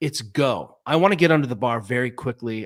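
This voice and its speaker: An unremarkable speaking voice from a man with an American accent, a medium pitch for a man and ordinary pitch variation, on a very clean recording with a silent background. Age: 50s. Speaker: physical therapist and fitness coach. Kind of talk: casual interview.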